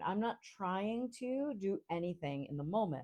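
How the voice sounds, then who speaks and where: Speaking at a fairly slow pace, a woman with an American accent has a dark, mellow tone. Her pitch swings very widely. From Rhode Island, US. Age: 40s. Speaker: coach, podcast host. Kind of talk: live Q&A talk. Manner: deliberately slow, articulate.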